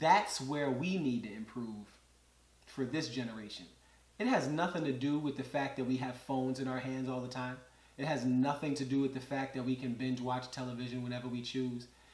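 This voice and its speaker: With audible room echo and noticeable background noise, a man of medium pitch speaks at a fairly quick pace in fairly even intonation. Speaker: podcast host. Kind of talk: solo monologue commentary.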